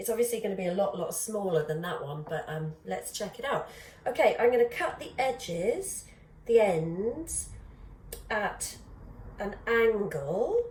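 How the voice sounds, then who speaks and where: A woman speaks at a moderate pace with lively intonation, her voice carrying audible room echo over noticeable background noise. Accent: British. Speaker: pottery teacher. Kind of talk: tutorial.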